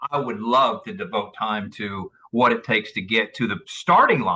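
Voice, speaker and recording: A man with an unremarkable speaking voice talks at a moderate pace, using lively intonation at a medium pitch. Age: 60s. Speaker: author and motivational speaker. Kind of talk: interview. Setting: podcast.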